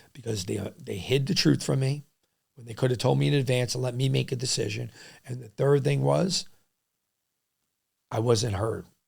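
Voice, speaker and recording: A man with a New York accent speaks at a medium pitch, with very wide pitch swings. He leaves long, frequent pauses. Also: moderate pace. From New York City, Lower East Side and Queens. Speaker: restaurant entrepreneur. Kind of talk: podcast interview. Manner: loud when passionate; animated.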